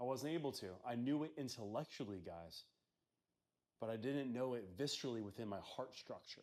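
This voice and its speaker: An unremarkable speaking voice from a man, medium in pitch with ordinary pitch variation, at a fairly quick pace. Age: 30s. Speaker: wellness vlogger. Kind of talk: personal testimony monologue. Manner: casual, conversational.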